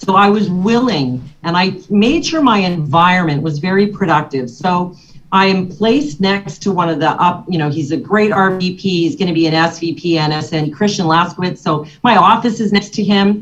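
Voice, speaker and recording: A somewhat breathy voice at a moderate pace, with ordinary pitch variation. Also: woman, medium pitch for a woman. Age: 60s. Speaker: financial services agent. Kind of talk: motivational talk to a business audience.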